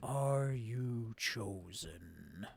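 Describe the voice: A put-on character voice from a man, pitched in the medium range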